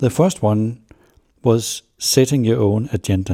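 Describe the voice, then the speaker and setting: In a very clean recording with a silent background, a man with a Danish accent talks in a dark, mellow tone that is somewhat breathy. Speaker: business journalist, podcast host. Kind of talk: interview.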